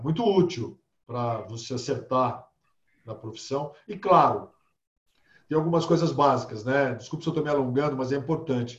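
A man's fairly high, somewhat breathy voice at a moderate pace, with long, frequent pauses and big swings in loudness. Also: ordinary pitch variation. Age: 50s. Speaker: holistic therapist. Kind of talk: casual interview.

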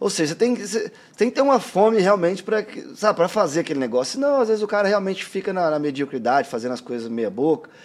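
A high-pitched man rattles along at a very fast pace with hardly any pauses and very wide pitch swings. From interior of São Paulo state, Brazil (Guaíra). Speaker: tattoo artist. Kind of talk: casual interview chat.

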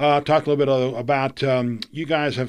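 A man's plain, everyday voice with an American accent, fairly high in pitch, at a moderate pace. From Florida. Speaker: podcast host. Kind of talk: interview. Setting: studio.

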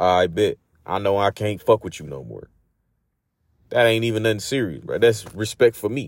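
A man at a fairly low pitch with ordinary pitch variation, big swings in loudness, a moderate pace and long, frequent pauses, in a dry, close sound with no echo on a very clean recording with a silent background. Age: 30s. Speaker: podcast host. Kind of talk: casual monologue. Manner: animated.

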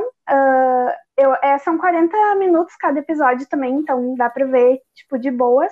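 A woman speaks in a high-pitched voice. Her pace is fairly slow. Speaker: podcast co-host. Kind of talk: casual chat.

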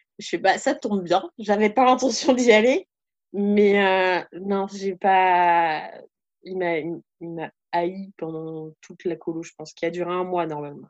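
At a very slow pace, a woman talks in a medium pitch with ordinary pitch variation and big swings in loudness. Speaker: youth camp leader and trainer. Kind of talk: casual chat.

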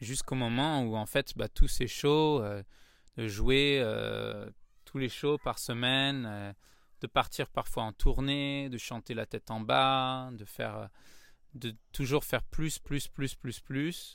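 A man with a Parisian accent speaks at medium pitch and a very slow pace, with fairly even intonation and big swings in loudness. The recording is very clean with a silent background. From Paris, France. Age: 30s. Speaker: yoga teacher, former musical theatre performer. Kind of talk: casual interview. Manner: hesitant with many fillers.

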